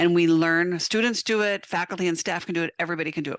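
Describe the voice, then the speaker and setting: Loud and bright, sharp in tone, a voice with an American accent comes through dry and close with no echo against a quiet background. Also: woman. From South Dakota, US. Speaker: veterinary technician and educator. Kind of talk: webinar presentation.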